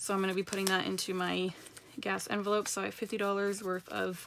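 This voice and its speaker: A woman at a medium pitch speaks over noticeable background noise. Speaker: personal finance vlogger. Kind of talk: casual vlog tutorial. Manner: fast.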